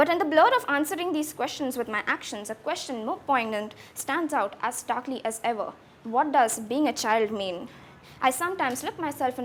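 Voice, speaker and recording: Over noticeable background noise, a woman speaks at a moderate pace with a high pitch and lively intonation. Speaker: slam poet. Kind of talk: spoken word poetry performance.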